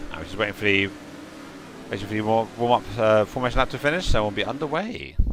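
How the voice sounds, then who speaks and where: Over noticeable background noise, a man with a medium pitch races along very fast with lively intonation. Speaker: sim racing commentator. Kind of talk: live commentary. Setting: live stream broadcast. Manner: fast when excited; stuttering, repeated words.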